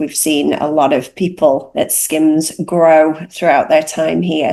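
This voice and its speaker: A woman speaks with a British accent at a fairly slow pace. Her pitch variation is ordinary. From northern England, Cheshire. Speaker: recruitment executive. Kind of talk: panel discussion.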